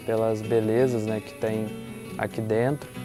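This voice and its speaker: A man is speaking. Music plays in the background. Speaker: collective member, university student, interviewee. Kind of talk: interview testimony. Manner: casual, conversational with fillers.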